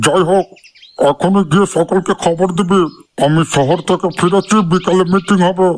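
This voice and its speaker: A man uses a cartoonish character voice, high in pitch, with fairly even intonation at a moderate pace. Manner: teasing, crude.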